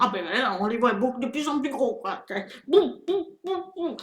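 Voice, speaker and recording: A woman talks in an animated tone with very wide pitch swings over noticeable background noise. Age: 60s. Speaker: video blogger. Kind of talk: political rant monologue. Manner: halting, many repetitions and hesitations; animated, indignant.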